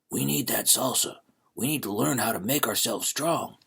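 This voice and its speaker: A man speaks in a raspy, put-on character voice at a medium pitch and a moderate pace. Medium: read story. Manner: grumbling, conspiratorial.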